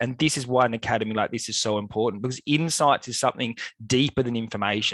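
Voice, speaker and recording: A man with an Australian accent speaks with ordinary pitch variation in a dry, close sound with no echo. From Australia, Melbourne. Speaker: climate scientist. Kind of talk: lecture. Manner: hesitant fillers.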